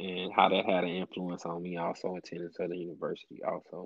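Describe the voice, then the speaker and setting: A man's very deep, low voice with monotone, flat intonation. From Louisiana, Alexandria. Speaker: process engineer. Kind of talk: casual interview.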